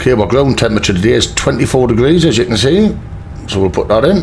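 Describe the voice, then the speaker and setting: Noticeable background noise sits behind a man with a Geordie accent who talks at a moderate pace with lively intonation. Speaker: flight sim youtuber. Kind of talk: tutorial. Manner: casual.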